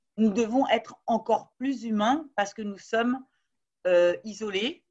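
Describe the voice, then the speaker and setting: This woman's voice is fairly high, with ordinary pitch variation. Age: 50s. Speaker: business school law professor. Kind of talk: interview.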